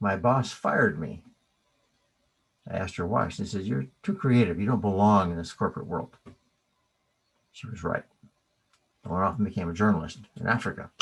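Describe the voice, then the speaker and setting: With an American accent, a man talks at a fairly quick pace in a fairly low voice, using lively intonation, vocal fry and long, frequent pauses. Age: 60s. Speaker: qigong teacher. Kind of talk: keynote lecture.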